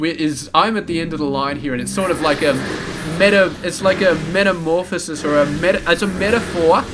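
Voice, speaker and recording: With an Australian accent, a man with a fairly high pitch talks over noticeable background noise. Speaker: game commentator. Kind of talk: live game commentary. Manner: rambling casual.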